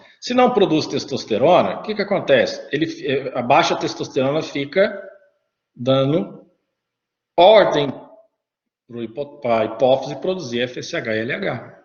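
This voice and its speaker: Amid audible room echo, a man with a fairly high pitch talks at a fairly slow pace, with very wide pitch swings and long, frequent pauses. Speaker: teacher. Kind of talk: lecture.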